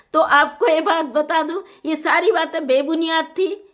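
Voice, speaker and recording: An extremely high-pitched woman's voice shows ordinary pitch variation. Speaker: YouTube news commentator. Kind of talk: monologue commentary. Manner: hesitant with fillers.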